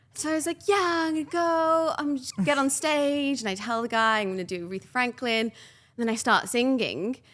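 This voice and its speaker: A woman's animated, high-pitched voice with lively intonation at a moderate pace, on a very clean recording with a silent background. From England, Birmingham. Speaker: entrepreneur. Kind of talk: podcast interview.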